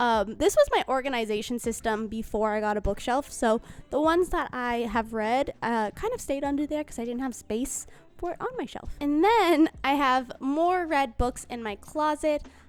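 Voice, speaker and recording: A woman speaks at a moderate pace in a high voice, with lively intonation and hardly any pauses. Her loudness swings widely from moment to moment. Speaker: book vlogger. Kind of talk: casual vlog monologue.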